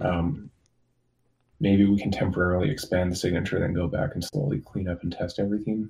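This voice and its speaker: A man talks at a fairly quick pace with a very deep, low pitch and ordinary pitch variation. His tone is dark and mellow, and somewhat breathy. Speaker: software developer. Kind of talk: casual meeting update.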